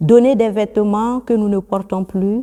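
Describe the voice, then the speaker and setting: This is a woman with a fairly high pitch. Her tone is dark and mellow. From Burkina Faso. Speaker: nun. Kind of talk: religious teaching. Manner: formal.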